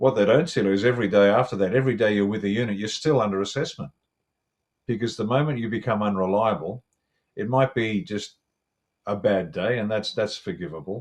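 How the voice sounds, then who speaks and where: A man with an Australian accent, fairly low in pitch with ordinary variation, at a fairly quick pace. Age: 60s. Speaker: retired special forces officer and commentator. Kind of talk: interview analysis.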